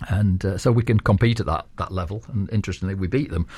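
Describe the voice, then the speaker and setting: Fairly low in pitch and somewhat breathy, a man with a dark, mellow tone speaks at a fairly quick pace. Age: 60s. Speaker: sports group founder. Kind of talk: radio interview. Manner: hesitant, many fillers.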